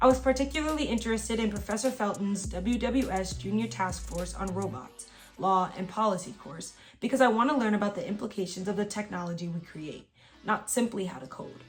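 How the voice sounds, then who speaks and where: A woman's fairly quick, lively delivery with big swings in loudness, music in the background. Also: medium pitch for a woman. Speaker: YouTuber giving college advice. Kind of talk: reading aloud; casual vlog talk. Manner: stumbles over words when reading; filler-heavy casual speech.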